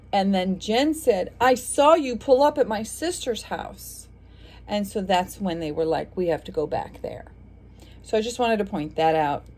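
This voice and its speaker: Speaking at a fairly slow pace, a woman's voice moves through very wide pitch swings. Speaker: vlogger commenting on a trial. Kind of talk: casual vlog commentary. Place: home room. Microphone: phone near.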